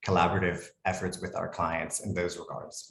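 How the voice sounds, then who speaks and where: Somewhat breathy, a man speaks in an American accent. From United States. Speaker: lawyer. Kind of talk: webinar presentation.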